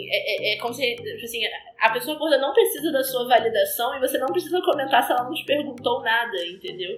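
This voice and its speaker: High-pitched and fairly quick, a woman talks with very wide pitch swings over noticeable background noise. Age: 20s. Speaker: pole dancer. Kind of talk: casual chat.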